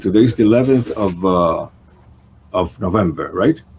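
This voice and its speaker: The speaker is a man with a somewhat breathy voice. He keeps a moderate pace. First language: not English. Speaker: talk show host. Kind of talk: interview. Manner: halting, many fillers.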